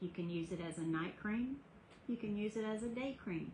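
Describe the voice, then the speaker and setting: A somewhat breathy woman with a Southern US accent talks at a moderate pace with ordinary pitch variation. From US South. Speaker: skincare business owner. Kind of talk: sales pitch. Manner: casual.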